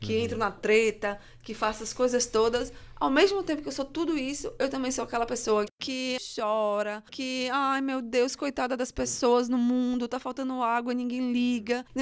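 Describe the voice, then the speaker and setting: A high-pitched woman at a moderate pace with ordinary pitch variation, in a very clean recording with a silent background. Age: 30s. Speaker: journalist, social media worker, astrology believer. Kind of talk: debate on a student radio show.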